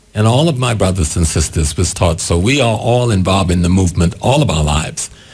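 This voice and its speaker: Through noticeable background noise, a man with an American accent speaks with lively intonation at a fairly low pitch. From US South, South Carolina Gullah/Geechee area. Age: 70s. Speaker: spiritual leader and activist. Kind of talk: interview.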